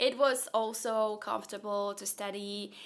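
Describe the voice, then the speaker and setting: A woman with a Slovak accent, bright and sharp in tone, fairly even in intonation, on a very clean recording with a silent background. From Slovakia, partly raised in Austria. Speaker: software engineer and content creator. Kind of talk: Q&A vlog.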